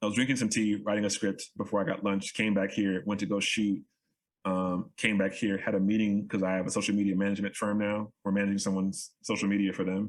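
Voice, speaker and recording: A fairly low-pitched man with an American accent, at a very fast pace. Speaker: photographer and creative entrepreneur. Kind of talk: podcast interview. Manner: animated, casual; stammering repetitions.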